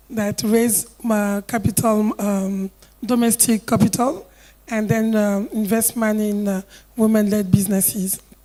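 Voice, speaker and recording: A woman with a fairly high pitch speaks at a fairly slow pace in a dark, mellow tone. Her intonation is fairly even. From Côte d'Ivoire. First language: French. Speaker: investor, investment club vice president. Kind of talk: panel discussion.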